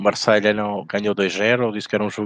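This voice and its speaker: A man speaks with a European Portuguese accent at a fairly low pitch. The sound is dry and close, with no echo. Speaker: sports betting podcast host. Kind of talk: casual chat.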